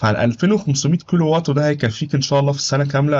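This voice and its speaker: A man speaks with an Egyptian accent. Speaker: YouTuber giving advice on life in Germany. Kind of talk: tutorial. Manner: casual, conversational.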